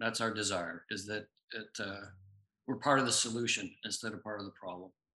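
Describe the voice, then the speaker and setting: Bright and sharp in tone, a man with an American accent speaks at a medium pitch and moderate pace with ordinary pitch variation. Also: big swings in loudness. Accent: American twang. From US, Tucson, Arizona. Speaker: pharmacist, author and bereaved parent. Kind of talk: interview conversation.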